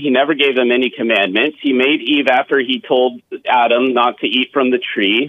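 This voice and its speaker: This is a man speaking at a medium pitch. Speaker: caller. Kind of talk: phone-in call. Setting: phone call. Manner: animated. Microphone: rattly, like a speakerphone.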